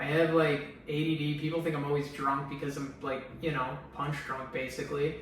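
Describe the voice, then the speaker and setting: Amid noticeable background noise and audible room echo, a man with a fairly high pitch talks in a monotone, flat intonation with hardly any pauses. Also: moderate pace. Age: 30s. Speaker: brain cancer survivor vlogger. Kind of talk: personal testimony. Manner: sometimes slurred speech; halting, many fillers.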